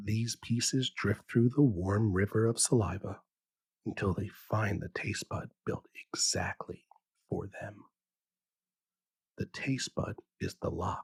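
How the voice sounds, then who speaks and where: Speaking at a very slow pace with long, frequent pauses, a man uses a calm, soothing tone that is somewhat breathy, recorded with a dry, close sound and no echo. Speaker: bedtime science podcast host. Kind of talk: sleep story. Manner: calm, soothing, slow.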